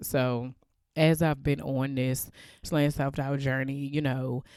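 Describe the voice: A woman speaks slowly in an extremely low voice with little pitch movement. Her tone is clear, smooth and slightly mellow.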